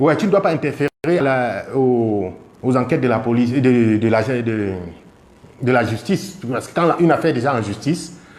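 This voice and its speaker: A man with a medium pitch speaks at a moderate pace. His intonation is lively. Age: 40s. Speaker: car dealer. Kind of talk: testimony. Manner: halting.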